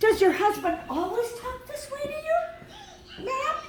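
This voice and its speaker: A woman uses a squeaky, put-on character voice at an extremely high pitch, with very wide pitch swings and big swings in loudness. She keeps a moderate pace over clear background noise and a slight echo. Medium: solo performance. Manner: formal.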